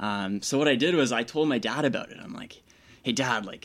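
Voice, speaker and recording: Speaking fairly quickly at medium pitch, a man with a Canadian accent uses lively intonation in a very clean recording with a silent background. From Toronto, Ontario, Canada. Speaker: engineering student and elite cyclist. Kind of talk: casual interview. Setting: radio studio.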